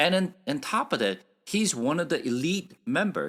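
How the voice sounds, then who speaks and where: A man with a non-native accent and vocal fry talks at a moderate pace with very wide pitch swings, on a very clean recording with a silent background. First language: Korean. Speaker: Bible teacher. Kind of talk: Bible study lecture. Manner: halting, with fillers.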